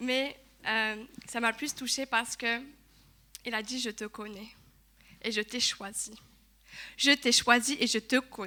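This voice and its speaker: Against a silent background in a very clean recording, a woman speaks at a fairly slow pace with a high pitch and a bright, sharp tone. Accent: Togolese. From Togo. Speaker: church speaker giving testimony. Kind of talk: testimony sermon. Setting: church service. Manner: halting, with hesitations.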